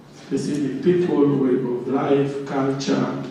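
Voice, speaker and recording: Amid noticeable background noise and audible room echo, a man speaks at a fairly high pitch with ordinary pitch variation. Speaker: workshop speaker. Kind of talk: interactive workshop talk. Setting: room with microphone and audience. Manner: loud.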